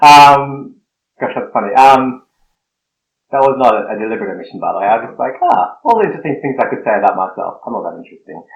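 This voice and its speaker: Talking very fast with an Australian accent, a man's loudness swings widely. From Australia, Snowy Mountains. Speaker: guest, blogger and seminary student. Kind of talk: podcast interview.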